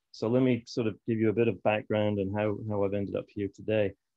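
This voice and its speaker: A man with a slight Scottish accent talks at a fairly quick pace and medium pitch. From Scotland. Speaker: fisheries conservation expert. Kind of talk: conference talk.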